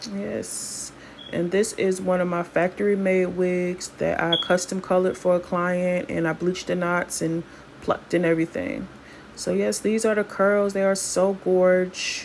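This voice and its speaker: Noticeable background noise accompanies a woman speaking at a fairly slow pace. Her medium-pitched voice has a relaxed tone and fairly even intonation. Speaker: hair stylist and wig seller. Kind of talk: tutorial. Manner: casual, relaxed.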